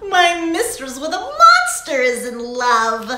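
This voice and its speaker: Using a put-on character voice, a woman talks in a high pitch at a fairly slow pace with slight echo. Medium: read story. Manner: playful, chuckling.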